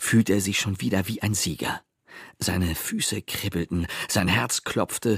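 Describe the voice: Someone reads aloud plainly with ordinary pitch variation against a quiet background.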